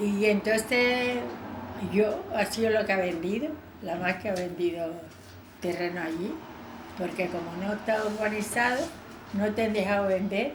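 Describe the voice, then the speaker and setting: A woman's medium-pitched voice at a fairly slow pace, with long, frequent pauses, ordinary pitch variation, audible room echo and noticeable background noise. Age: 80s+. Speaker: elderly local witness. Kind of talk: oral history interview.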